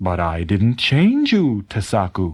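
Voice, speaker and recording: A man's put-on character voice, fairly low in pitch, at a fairly slow pace in a very clean recording with a silent background. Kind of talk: bedtime story. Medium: read story. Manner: calm, gentle.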